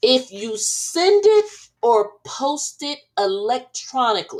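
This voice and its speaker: A high-pitched woman's voice with very wide pitch swings at a very slow pace. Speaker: attorney giving legal commentary. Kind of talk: legal analysis podcast. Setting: live recording. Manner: casual, direct address to viewers.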